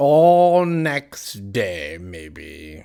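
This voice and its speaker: In a very clean recording with a silent background, a man performs a put-on character voice at a fairly low pitch with very wide pitch swings. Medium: read story. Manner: deadpan.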